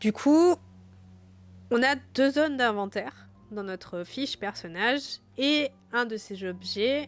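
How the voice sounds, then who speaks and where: At a very slow pace and with long, frequent pauses, a woman speaks at a high pitch. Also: lively intonation, very clean recording, silent background. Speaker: game master and streamer. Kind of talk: reading aloud rules of a gamebook on a live stream. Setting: live stream with background music.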